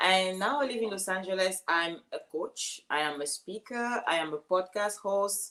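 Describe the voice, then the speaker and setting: With a Cameroonian accent, this woman talks at a moderate pace and medium pitch, using ordinary pitch variation and hardly any pauses. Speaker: life coach and speaker. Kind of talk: casual interview.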